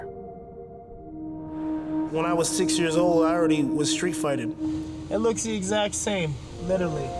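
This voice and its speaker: A man talks at a fairly slow pace. Music plays behind him. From Canada. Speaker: professional MMA fighter. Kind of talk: interview answer. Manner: casual, halting.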